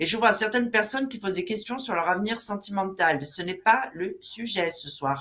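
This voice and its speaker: A woman's unremarkable speaking voice at a medium pitch, with ordinary pitch variation and a moderate pace. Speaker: live show moderator. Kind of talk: live interview show.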